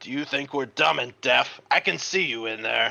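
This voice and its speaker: Putting on a raspy character voice, a man talks at a moderate pace with lively intonation. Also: medium pitch for a man. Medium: read story. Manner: blustering.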